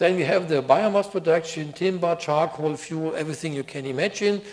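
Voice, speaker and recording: This man has a plain, everyday voice. His fairly high pitch shows ordinary pitch variation at a moderate pace. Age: 60s. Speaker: project director. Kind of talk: conference talk. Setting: conference stage with audience.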